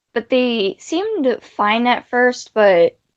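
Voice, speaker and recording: In a dry, close recording with no echo, a woman with a fairly high voice speaks at a very slow pace. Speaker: interviewee. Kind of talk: interview testimony. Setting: livestream. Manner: stuttering, halting.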